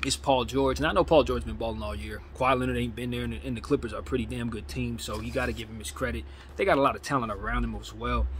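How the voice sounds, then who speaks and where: A man talks at a very fast pace with hardly any pauses. His loudness swings widely, over light background noise. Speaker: sports fan vlogger. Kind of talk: casual commentary. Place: home room. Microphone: phone near.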